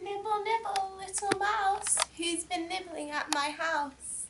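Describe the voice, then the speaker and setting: In a put-on character voice, a woman speaks softly at a fairly slow pace, squeaky and extremely high in pitch. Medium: stage play. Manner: sugary, coaxing.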